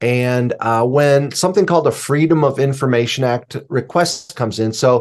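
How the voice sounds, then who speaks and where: Against a quiet background, a man with an American accent uses a plain, everyday voice at a medium pitch with lively intonation. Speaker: suspense novelist and writing teacher. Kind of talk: podcast interview.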